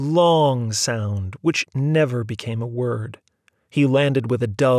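Over a quiet background, the reading aloud comes in a natural voice, its pitch varying in an ordinary way.

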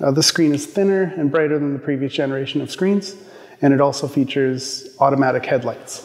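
A man's voice with ordinary pitch variation at a very fast pace. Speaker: presenter. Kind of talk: product overview presentation. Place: studio.

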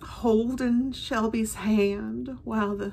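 A woman's very slow speech comes through light background noise. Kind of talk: personal storytelling. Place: home room. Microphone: phone near.

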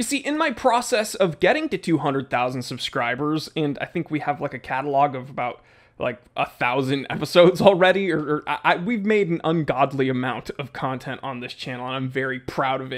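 A man talks at a fairly quick pace with hardly any pauses and lively intonation. The background is quiet. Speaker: watch channel host. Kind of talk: casual vlog chat. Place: home room. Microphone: studio mic.

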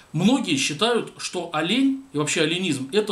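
Audible room echo surrounds this man's voice. He is the one speaking. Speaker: commentator. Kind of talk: commentary monologue. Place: home room.

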